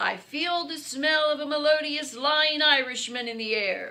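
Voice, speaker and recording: At a moderate pace, a woman performs a put-on character voice with a high pitch. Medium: read story.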